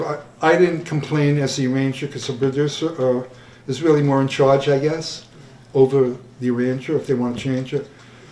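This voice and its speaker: Fairly high for a man, this voice moves at a fairly quick pace with fairly even intonation and audible room echo. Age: 70s. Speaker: jazz musician and arranger. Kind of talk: Q&A after screening. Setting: stage with audience in theatre. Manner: halting.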